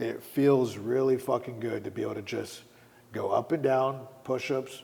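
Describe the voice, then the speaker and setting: In a normal speaking voice, a man speaks at a moderate pace with medium pitch and fairly even intonation. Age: 40s. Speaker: fitness trainer and Muay Thai fighter. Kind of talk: casual chat.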